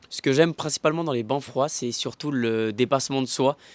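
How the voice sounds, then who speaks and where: A man with an ordinary speaking voice talks at a medium pitch with fairly even intonation, recorded very cleanly against a silent background with a dry, close sound and no echo. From Canton of Vaud, Switzerland. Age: 20s. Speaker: cold-water swimmer. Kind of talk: interview.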